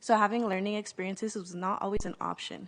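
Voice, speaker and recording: A woman with a Californian accent, medium in pitch, at a fairly quick pace. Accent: Californian American English. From US West Coast, South Central Los Angeles. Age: 20s. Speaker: nonprofit youth leader. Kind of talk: conference presentation.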